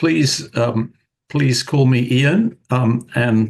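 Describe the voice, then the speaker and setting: A man speaks with a British accent at a medium pitch. There is vocal fry in his voice, and his pitch varies in an ordinary way. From United Kingdom. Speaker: retired physics professor, author. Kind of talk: interview. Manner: thoughtful, with fillers.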